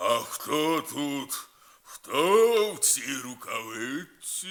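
Bellowing, growling put-on character voice from a man, fairly high in pitch, at a very slow pace. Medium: read story.

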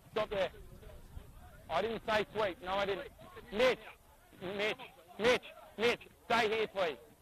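A man with an Australian accent talks at a moderate pace, the sound dry with no echo and light background noise. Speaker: rugby league referee. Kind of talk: on-field instructions. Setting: outdoors. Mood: firm, authoritative. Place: stadium. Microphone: headset.

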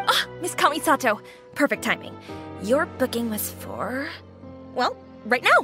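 In a cartoonish character voice, a woman speaks at a high pitch and a fairly slow pace with a bright, sharp tone and big pitch swings, over faint music in the background.

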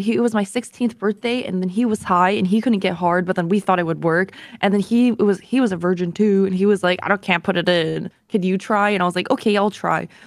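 A woman talks at a fairly quick pace with hardly any pauses and very even loudness, in a dry sound with no echo and a quiet background. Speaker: streamer. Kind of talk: casual chat. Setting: video call. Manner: animated. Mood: playful, laughing. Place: home room. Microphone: studio mic.

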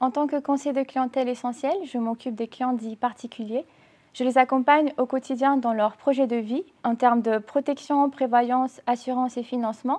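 A woman's high-pitched voice with a dark, mellow tone at a moderate pace. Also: fairly even intonation. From Romania. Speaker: bank customer adviser. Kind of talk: corporate testimonial. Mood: calm, warm, composed. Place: office. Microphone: lapel.

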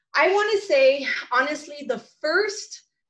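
A woman with a Californian accent. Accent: Californian American. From California, San Fernando Valley. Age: 40s. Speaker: social media coach. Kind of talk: talk. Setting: video call.

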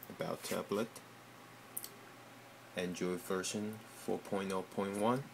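With noticeable background noise behind him, a man speaks at a fairly low pitch with fairly even intonation and long, frequent pauses. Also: fairly slow pace. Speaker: software developer. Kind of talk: casual tech demo. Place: home room. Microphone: phone near.

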